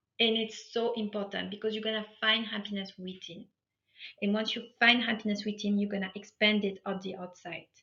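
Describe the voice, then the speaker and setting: With a non-native accent, a woman talks at a fairly quick pace and medium pitch in a bright, sharp tone. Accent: foreign. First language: not English. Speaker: life coach. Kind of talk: motivational workshop talk. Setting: online live webinar. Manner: animated.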